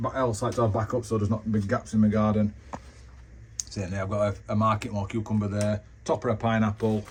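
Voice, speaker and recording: A man with a fairly low pitch rattles along at a very fast pace, his intonation fairly even. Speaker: home gardener vlogger. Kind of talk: casual walkthrough tour.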